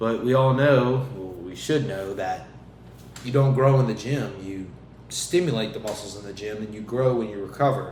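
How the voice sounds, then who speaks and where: Amid noticeable background noise and audible room echo, a man talks at a moderate pace and medium pitch, with ordinary pitch variation and big swings in loudness. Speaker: podcast host and fitness coach. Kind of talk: motivational monologue. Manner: stumbling, repeats words.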